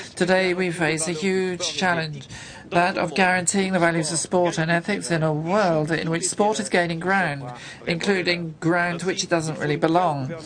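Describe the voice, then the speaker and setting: A woman speaks at a fairly low pitch in a monotone, flat delivery. Audible room echo and noticeable background noise surround her voice. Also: moderate pace. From Portugal. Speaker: parliamentarian. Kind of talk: parliamentary speech.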